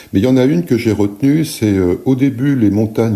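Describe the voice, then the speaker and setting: The man's intonation sounds lively. His pace is moderate. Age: 60s. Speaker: painter and art teacher. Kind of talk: casual podcast monologue. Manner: hesitant, many fillers and repetitions.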